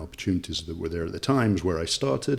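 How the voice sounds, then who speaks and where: Very fast and somewhat breathy, a man talks with a very deep, low pitch. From England, Nottingham. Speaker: local government official. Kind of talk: interview.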